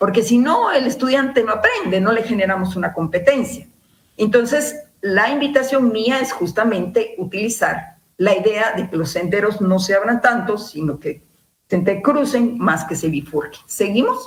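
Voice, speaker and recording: Speech moves at a moderate pace with lively intonation. The room adds an audible echo. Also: woman, fairly high pitch for a woman. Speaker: university lecturer. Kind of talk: lecture. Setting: video call.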